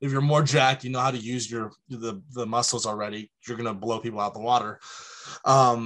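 Speaking at a fairly quick pace, a man uses an ordinary speaking voice at a medium pitch with fairly even intonation. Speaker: powerlifter. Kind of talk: casual chat.

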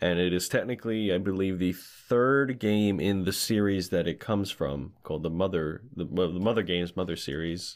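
Playful in tone, a man speaks at a moderate pace with a very deep, low pitch. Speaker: podcast host. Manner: joking, playful.

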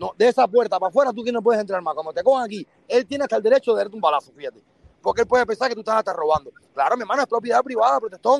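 A man talks very fast at a high pitch with lively intonation. The sound is dry and close, with no echo. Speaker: panelist on live stream. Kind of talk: casual chat. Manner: animated.

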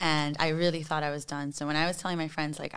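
A woman speaks at a very deep, low pitch with fairly even intonation. The recording is very clean with a silent background. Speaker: podcast guest. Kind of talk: casual chat.

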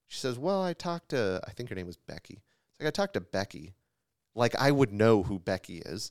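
Very wide pitch swings and big swings in loudness from a man at a fairly quick pace, in a dry, close sound with no echo. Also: medium pitch for a man. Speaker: insurance agency owner and podcast co-host. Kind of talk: casual chat. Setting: office.

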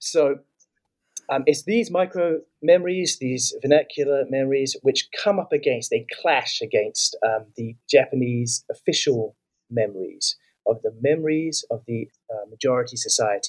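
A man with a New Zealand accent at a moderate pace. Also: dry, close sound with no echo. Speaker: author and migration researcher. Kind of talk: interview.

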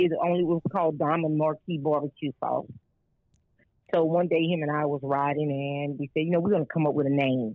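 A woman speaks with a Louisiana accent in a very deep, low voice. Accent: Southern US (Louisiana). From rural Louisiana, US South. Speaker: caterer and restaurant owner. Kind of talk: interview.

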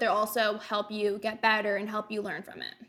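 Her pace is fairly quick. This woman's voice is fairly high, with a bright, sharp tone. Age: 20s. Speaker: race car driver. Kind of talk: interview.

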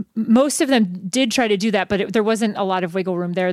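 On a very clean recording with a silent background, the pitch shifts in an ordinary way. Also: woman. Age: 40s. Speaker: management consultant and panel moderator. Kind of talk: moderated panel discussion. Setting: stage with live audience.

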